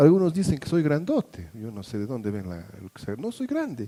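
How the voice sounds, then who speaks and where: A man's dark, mellow voice moves through very wide pitch swings, and the sound is dry and close with no echo. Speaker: pastor. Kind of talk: sermon. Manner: halting.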